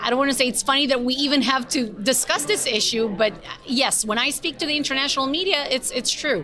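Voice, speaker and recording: With an Israeli accent, a woman speaks in a raised, projected, high-pitched voice with ordinary pitch variation over noticeable background noise. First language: Hebrew. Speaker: government spokesperson. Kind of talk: panel discussion.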